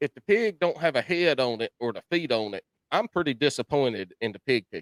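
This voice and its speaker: A man with a Carolina accent, fairly high pitch and very wide pitch swings, in a dry, close sound with no echo. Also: fairly quick pace. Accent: Southern US, rural Carolina. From US South, South Carolina (Chesterfield County). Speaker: podcast host. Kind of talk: casual chat.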